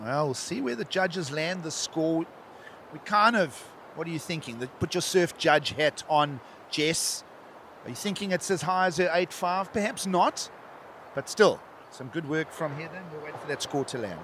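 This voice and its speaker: In an unremarkable speaking voice, the speaker moves at a moderate pace with ordinary pitch variation and big swings in loudness. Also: man, fairly high pitch for a man. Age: 60s. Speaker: surf contest commentator. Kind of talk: live commentary.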